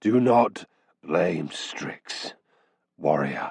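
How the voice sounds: In a put-on character voice, a man speaks with a very deep, low pitch that is rumbling and raspy.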